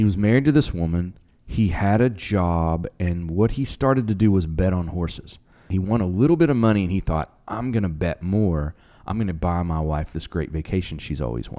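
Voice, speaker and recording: A man's very deep, low voice, dark and mellow in tone, with lively intonation and a fairly quick pace. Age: 40s. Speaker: podcast co-host. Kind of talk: casual chat.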